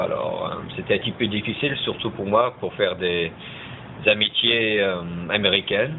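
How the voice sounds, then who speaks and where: Through noticeable background noise, a man speaks at a moderate pace. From California, US, raised by French parents. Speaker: interviewee, bilingual French-American. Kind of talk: class interview. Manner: hesitant, many fillers.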